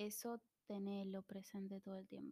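A somewhat breathy speaker talks at a fairly slow pace in an Argentine accent. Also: woman. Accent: Rioplatense Argentine Spanish. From Argentina, Buenos Aires suburbs. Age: 20s. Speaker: podcast host. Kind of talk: casual solo monologue.

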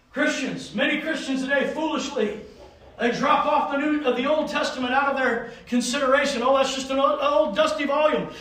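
A man's extremely high-pitched voice at a fairly quick pace, with noticeable background noise. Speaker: preacher. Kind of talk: sermon. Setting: church. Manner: animated; exhorting, call-and-response.

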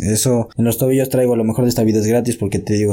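A man's fairly low pitch and dark, mellow tone in a very clean recording with a silent background. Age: 20s. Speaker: boxing coach. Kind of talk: casual chat.

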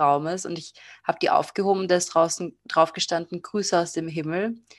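A woman with a plain, everyday voice speaks at a fairly quick pace, fairly low in pitch, with fairly even intonation. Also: quiet background. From Austria. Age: 20s. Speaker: tarot card reader and psychology student. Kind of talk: interview. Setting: video call.

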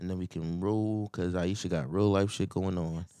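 Fairly even intonation comes through on a very clean recording with a silent background. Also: man. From Philadelphia. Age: 30s. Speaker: podcast co-host. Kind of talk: casual chat.

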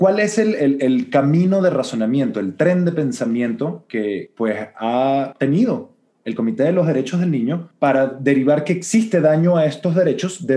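This man's voice has a dark, mellow tone and a fairly high pitch. His pitch swings very widely as he talks at a moderate pace. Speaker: podcast co-host. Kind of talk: casual discussion of international law. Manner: hesitant, repeats words.

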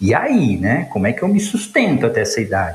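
A man's voice with noticeable background noise. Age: 50s. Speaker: logistics executive. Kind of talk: interview. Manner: halting, many fillers.

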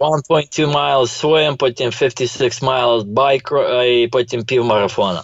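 A man talks at a very slow pace with hardly any pauses. His loudness stays very even. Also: medium pitch for a man, ordinary pitch variation. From Ukraine, Ternopil. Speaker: finance professional and real estate investor. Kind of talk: casual interview.

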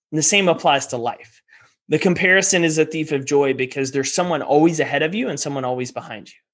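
This man speaks at a very fast pace with an American accent, his voice fairly high-pitched with ordinary pitch variation. His loudness swings widely over a quiet background. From Texas. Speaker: performance coach and entrepreneur. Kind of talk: interview.

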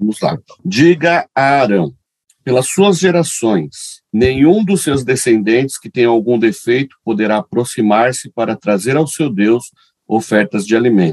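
A man speaks in a normal speaking voice at a fairly slow pace, with lively intonation. The sound is dry and close, with no echo. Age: 40s. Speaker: pastor, radio co-host. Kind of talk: radio show, announcements and Q&A; reading aloud.

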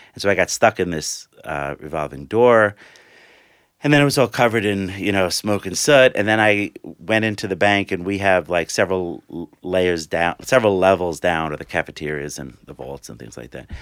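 With an American accent, a man speaks at a very deep, low pitch and a moderate pace. His intonation is lively, his loudness swings widely, and the sound is dry and close with no echo. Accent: New York Italian. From New York City, Staten Island. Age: 50s. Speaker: former banker, arts nonprofit worker. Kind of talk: interview.

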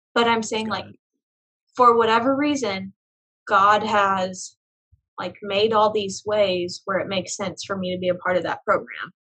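A woman with an American accent, medium pitch and a bright, sharp tone, big swings in loudness, ordinary pitch variation, a moderate pace, and long, frequent pauses. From Oklahoma, Tulsa. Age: young. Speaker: business development director and business owner. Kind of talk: casual interview.

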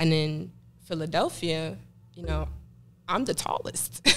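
In a Jamaican accent, a woman speaks with a very deep, low pitch and vocal fry. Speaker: fashion model. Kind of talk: casual interview. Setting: studio.

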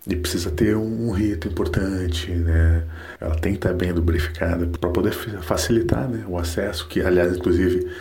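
A man's very deep, low, dark and mellow voice, somewhat breathy, at a moderate pace with audible room echo. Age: 40s. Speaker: listener giving testimony. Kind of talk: recorded voice message testimony.

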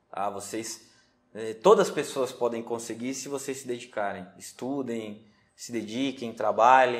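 With an unremarkable speaking voice, a man talks at a fairly slow pace and medium pitch, his intonation fairly even but his loudness swinging widely. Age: 30s. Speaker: day trader. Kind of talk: interview.

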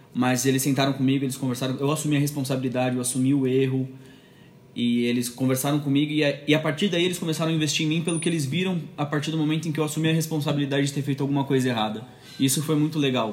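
Words come at a very fast pace with fairly even intonation and very even loudness, and audible room echo surrounds them. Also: man, fairly high pitch for a man. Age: 20s. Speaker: church video producer. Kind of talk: casual interview.

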